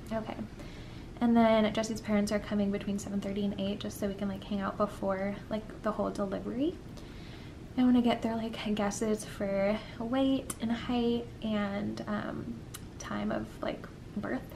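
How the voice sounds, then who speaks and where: Against noticeable background noise, a woman speaks at a moderate pace with fairly even intonation. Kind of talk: casual vlog chat. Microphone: phone near.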